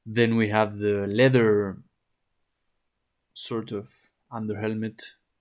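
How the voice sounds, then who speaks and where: In a very clean recording with a silent background, a man speaks very slowly in a fairly low, monotone voice with flat intonation. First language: not English. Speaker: oil painting teacher. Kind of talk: tutorial. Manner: halting, with frequent repetitions and fillers.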